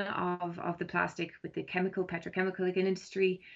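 A woman's medium-pitched voice with an Irish accent, at a fairly quick pace. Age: 40s. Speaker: environmental campaigner. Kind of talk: interview. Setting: phone call. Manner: hesitant, many ums.

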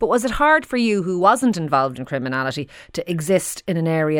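Fairly low in pitch yet swinging very widely, a woman with an Irish accent speaks at a fairly quick pace. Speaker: radio host. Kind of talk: radio phone-in discussion.

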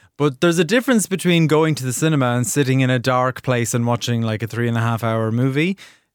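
Speaking at a very fast pace with hardly any pauses, a man with an Irish accent keeps a medium pitch and ordinary pitch variation. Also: very clean recording, silent background. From Ireland. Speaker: TV critic. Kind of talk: casual chat. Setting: radio studio. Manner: animated.

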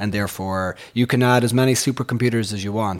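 A man talks in a Sligo accent. His pitch varies in an ordinary way. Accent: rural Irish (Sligo). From Ireland, west Sligo. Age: 40s. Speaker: economics professor and entrepreneur. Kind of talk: interview conversation. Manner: hesitant, many fillers.

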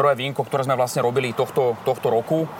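A man's plain, everyday voice at medium pitch, with fairly even intonation. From western Slovakia (Little Carpathians). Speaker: winemaker. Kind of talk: casual interview.

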